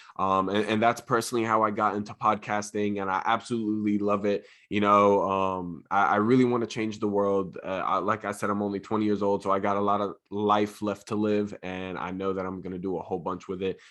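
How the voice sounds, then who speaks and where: Over a quiet background, a man with an American accent talks at a fairly quick pace with hardly any pauses. His voice is fairly low and monotone, with flat intonation. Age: 20s. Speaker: motivational speaker and podcaster. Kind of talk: casual interview.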